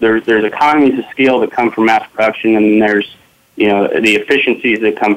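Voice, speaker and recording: A man talks at a very fast pace in a fairly low voice. His intonation is monotone and flat. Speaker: business technology executive. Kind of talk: panel discussion.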